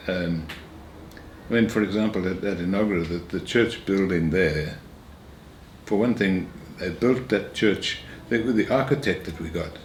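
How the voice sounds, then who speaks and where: A man's very deep, low voice with ordinary pitch variation and audible room echo. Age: 80s+. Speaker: retired minister. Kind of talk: interview.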